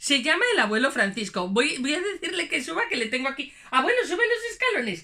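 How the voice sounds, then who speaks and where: Over noticeable background noise, a woman projects a high, raised voice at a fairly quick pace, her pitch swinging very widely with hardly any pauses. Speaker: storyteller; puppeteer. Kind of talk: children's storytelling, talking to camera. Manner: upbeat.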